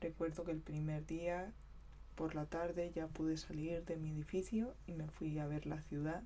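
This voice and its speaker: At a fairly slow pace, a soft-spoken woman talks. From southeastern Spain (Vega Baja). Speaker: ASMR creator. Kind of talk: ASMR talk to camera about local flood.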